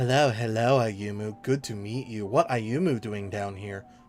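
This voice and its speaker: A man uses a put-on character voice at a medium pitch and moderate pace. Clear music plays in the background. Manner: shouting, gleeful; speaking in third person, broken speech.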